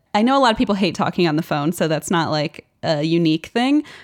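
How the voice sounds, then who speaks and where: A woman's very fast speech with very wide pitch swings, in a dry, close sound with no echo on a very clean recording with a silent background. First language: German. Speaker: podcast co-host guest. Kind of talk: casual chat.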